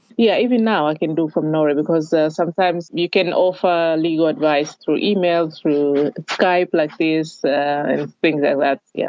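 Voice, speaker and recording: A woman's very deep, low voice at a moderate pace, with hardly any pauses, very even loudness and ordinary pitch variation. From Tanzania, Dar es Salaam. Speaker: lawyer. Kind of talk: interview. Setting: video call.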